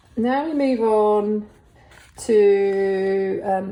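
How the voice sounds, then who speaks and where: Relaxed in tone, a woman with a southern English accent speaks in a fairly high voice with ordinary pitch variation. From England, Essex. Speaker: artist. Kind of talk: casual tutorial-style sketchbook tour. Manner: relaxed, hesitant with many fillers; slow-paced.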